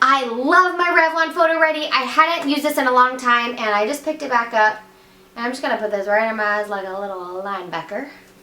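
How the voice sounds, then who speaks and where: In a raised, projected voice with an American accent, a woman swings very widely in pitch, with audible room echo and noticeable background noise. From West Virginia. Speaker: beauty vlogger. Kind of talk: makeup tutorial. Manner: fast; casual, chatty.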